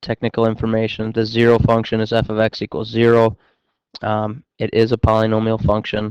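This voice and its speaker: A man talks at a fairly quick pace with medium pitch. His intonation is monotone and flat, against a quiet background. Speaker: math teacher. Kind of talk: recorded lesson. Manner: fast.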